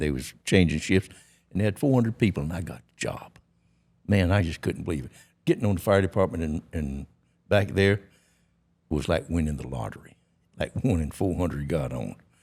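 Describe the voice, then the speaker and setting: In a Southern US accent, a man speaks fairly quickly in a very deep, low voice with vocal fry, lively intonation and big swings in loudness, leaving long, frequent pauses. The recording is very clean, with a silent background. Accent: Southern American. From Georgia, USA. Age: 80s+. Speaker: former drug smuggling pilot. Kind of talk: interview answer.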